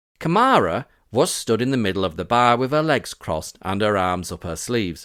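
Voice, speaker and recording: A man with a Yorkshire accent at a fairly quick pace, with very wide pitch swings, on a very clean recording with a silent background. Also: medium pitch for a man. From Yorkshire, northern England. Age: 40s. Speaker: podcast host. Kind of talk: personal testimony narration.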